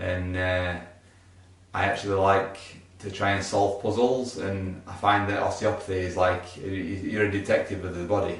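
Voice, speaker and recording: A man with a Yorkshire accent speaks at a fairly low pitch. His intonation is monotone and flat, over noticeable background noise. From Yorkshire, England. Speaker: osteopath. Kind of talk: casual talk to camera.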